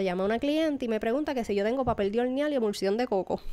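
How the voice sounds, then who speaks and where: A normal speaking voice: a woman's fairly high pitch with ordinary pitch variation. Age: 30s. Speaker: baker and podcast host. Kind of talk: personal testimony.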